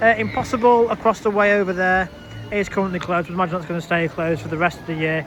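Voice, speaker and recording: A man with a Lancashire accent talking at a very fast pace, music in the background. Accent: northern English (Lancashire). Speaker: theme park vlogger. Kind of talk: walking vlog commentary. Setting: outdoors at a theme park. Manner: halting, stumbling over words.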